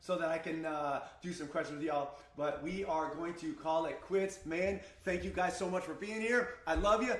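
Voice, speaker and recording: Shouting loudly at a moderate pace, a man with a high pitch and ordinary pitch variation sounds animated, with audible room echo and noticeable background noise. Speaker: crypto trading streamer. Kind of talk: live stream market analysis. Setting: live stream. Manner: loud, shouting.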